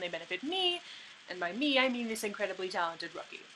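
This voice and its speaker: Very fast speech from a woman, with noticeable background noise throughout. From Canada. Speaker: hockey vlogger. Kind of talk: vlog commentary. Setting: home, childhood bedroom or basement. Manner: animated.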